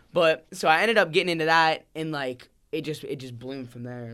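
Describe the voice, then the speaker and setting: A man with an American accent, a plain, everyday voice, ordinary pitch variation and a fairly quick pace, on a very clean recording with a silent background. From central Pennsylvania. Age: 20s. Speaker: rapper. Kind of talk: casual chat.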